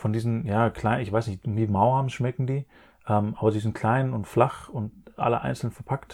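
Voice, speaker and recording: Recorded very cleanly with a silent background, a man speaks at a moderate pace and medium pitch in a somewhat breathy voice. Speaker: financial advisor and podcast host. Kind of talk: casual explanatory chat. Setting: room in his parents' house.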